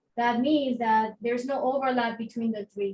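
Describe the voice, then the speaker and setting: A woman speaks with a non-native accent and a high pitch. Her pace is moderate and her intonation fairly even. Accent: non-native accent, noticeable. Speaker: math teacher. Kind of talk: lecture. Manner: conversational, with many fillers.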